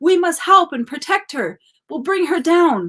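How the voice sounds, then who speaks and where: A woman does a put-on character voice at an extremely high pitch. She keeps a moderate pace with ordinary pitch variation. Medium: read story. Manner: honks between words.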